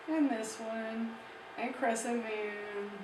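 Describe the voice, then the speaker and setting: A woman's fairly high voice, with audible room echo and noticeable background noise. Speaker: art teacher. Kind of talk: tutorial.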